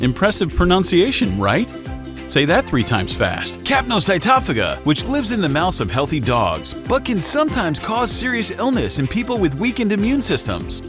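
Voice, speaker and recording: Music plays in the background. The speaker sounds upbeat and talks at a moderate pace. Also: man. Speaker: voice actor and comedian. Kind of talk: comedic edutainment talk to camera. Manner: upbeat, jokey.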